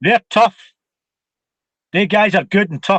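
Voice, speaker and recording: A man with a Scottish accent and a high pitch, ordinary pitch variation, a fairly slow pace, and a dry, close sound with no echo. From Scotland. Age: 50s. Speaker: martial arts instructor. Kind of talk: interview.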